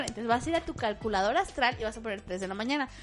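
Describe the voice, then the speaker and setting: A woman with a Mexican accent talks at a very fast pace with lively intonation. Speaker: podcast host. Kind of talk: casual chat.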